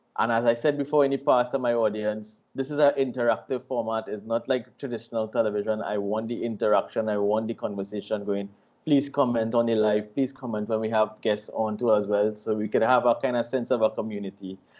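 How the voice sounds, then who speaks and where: In a plain, everyday voice, a man talks at a fairly quick pace with medium pitch, fairly even intonation and hardly any pauses. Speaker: online radio host. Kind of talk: interview questions, casual talk.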